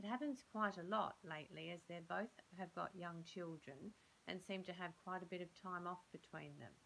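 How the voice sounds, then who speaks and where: Light background noise sits behind a bright, sharp tone. The pace is moderate, with ordinary pitch variation. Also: woman, fairly low pitch for a woman. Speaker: speaker. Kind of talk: scripted role-play dialogue. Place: home room. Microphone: phone near.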